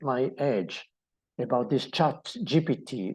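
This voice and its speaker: A man with a fairly high pitch, a dark, mellow tone and ordinary pitch variation speaks against a quiet background. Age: 60s. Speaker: mindset coach. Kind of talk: motivational talk. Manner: halting.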